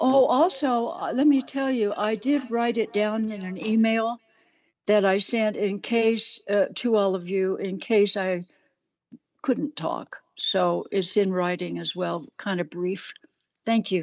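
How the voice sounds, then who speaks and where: A woman speaks with a fairly high pitch. Her pace is very slow. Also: ordinary pitch variation. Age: 80s+. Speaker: public commenter. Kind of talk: public comment.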